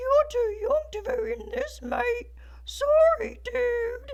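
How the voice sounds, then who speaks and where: A squeaky, put-on character voice crawls along at a very slow pace. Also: man, extremely high pitch for a man. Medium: read story.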